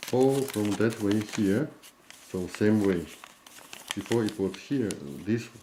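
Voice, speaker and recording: Over light background noise, a man talks at a very slow pace with long, frequent pauses, a fairly low pitch and ordinary pitch variation. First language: Chinese. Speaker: origami teacher and printing store owner; origami teacher. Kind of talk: tutorial. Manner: halting.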